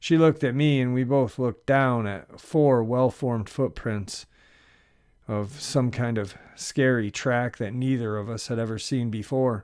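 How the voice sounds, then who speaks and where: In a normal speaking voice, a man talks fairly slowly at medium pitch with fairly even intonation, on a very clean recording with a silent background. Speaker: narrator. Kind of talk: first-person encounter story reading.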